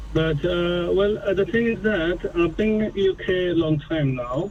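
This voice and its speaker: A man with a non-native accent speaks at a high pitch and a fairly slow pace. Noticeable background noise runs underneath. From a developing country abroad. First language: not English. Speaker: caller, police officer. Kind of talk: phone-in call. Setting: phone call. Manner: halting, many fillers.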